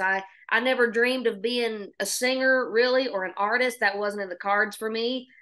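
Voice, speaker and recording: Bright and sharp in tone, a woman with a Southern US accent talks at a fairly high pitch and fairly quick pace, with ordinary pitch variation. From Oklahoma. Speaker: singer-songwriter. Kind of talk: podcast interview.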